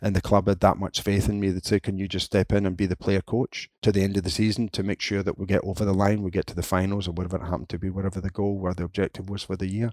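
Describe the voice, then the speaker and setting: Delivered with a Scottish accent at a very fast pace, the speech has monotone, flat intonation and hardly any pauses, with a dry, close sound with no echo in a very clean recording over a silent background. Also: man, fairly low pitch for a man. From Scotland, Linwood (Renfrewshire). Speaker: football coaching director. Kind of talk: interview.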